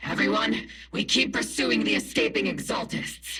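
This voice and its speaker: A man performs a cartoonish character voice. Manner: blunt, sarcastic.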